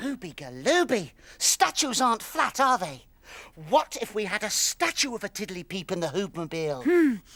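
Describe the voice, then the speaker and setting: A man puts on a cartoonish character voice, high in pitch. His pitch swings very widely at a moderate pace. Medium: puppet.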